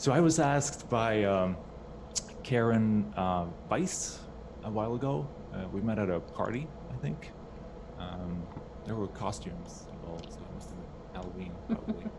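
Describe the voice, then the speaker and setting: A man with a Swedish accent, fairly low in pitch, with very wide pitch swings, big swings in loudness and long, frequent pauses, in a room with audible echo and noticeable background noise. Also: moderate pace. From Sweden. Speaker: game music composer. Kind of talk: presentation. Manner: halting, many fillers.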